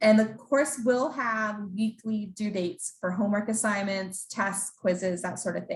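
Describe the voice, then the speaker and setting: Medium pitch and ordinary pitch variation from a woman, her voice somewhat breathy. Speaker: program staff presenter. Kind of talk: information session presentation. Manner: fast.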